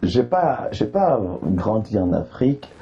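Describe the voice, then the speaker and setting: A man's voice over noticeable background noise. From Ivory Coast. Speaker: comedian. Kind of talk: interview.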